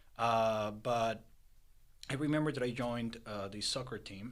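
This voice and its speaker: Someone with a Spanish accent speaks at a moderate pace, with audible room echo. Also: man. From Peru. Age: 20s. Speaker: entrepreneur. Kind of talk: interview. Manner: halting, many fillers.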